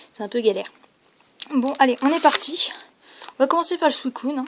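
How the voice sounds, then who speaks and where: A woman talks at a high pitch with ordinary variation while noticeable noise sits in the background. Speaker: card opening youtuber. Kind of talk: casual unboxing video. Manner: hesitant with fillers.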